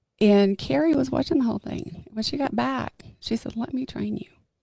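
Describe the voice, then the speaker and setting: A woman speaks at a moderate pace, her sound dry and close with no echo. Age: 60s. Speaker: fitness gym member. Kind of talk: podcast interview answer. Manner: casual, chatty.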